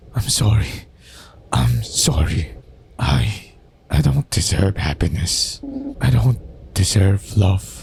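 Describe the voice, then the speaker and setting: A man puts on a character voice, guttural and strained, with a very deep, low pitch and very wide pitch swings. He moves at a fairly slow pace with long, frequent pauses. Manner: pleading, despairing.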